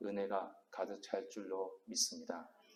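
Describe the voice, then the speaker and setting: A man with a fairly low voice and ordinary pitch variation is heard with audible room echo. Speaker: senior pastor. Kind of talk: sermon. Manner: stumbling over words.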